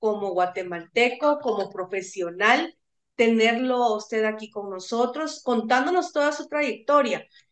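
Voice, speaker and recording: Here is a woman with an unremarkable speaking voice, pitched fairly high with ordinary pitch variation. She talks at a fairly slow pace. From Guatemala. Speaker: university radio host. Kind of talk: radio interview.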